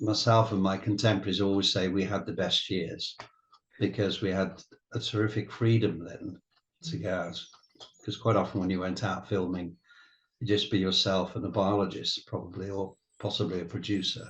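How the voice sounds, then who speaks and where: A man talks at a moderate pace and a fairly low pitch. His voice is somewhat breathy, with fairly even intonation. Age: 70s. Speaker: retired wildlife cameraman. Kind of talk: interview. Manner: halting.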